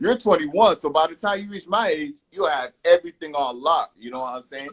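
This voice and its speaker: Recorded dry and close with no echo, a man talks at a fairly quick pace in a high pitch, with lively intonation and big swings in loudness. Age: 30s. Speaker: music producer and interview show host. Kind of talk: casual interview on livestream. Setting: Instagram live video stream. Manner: casual, animated.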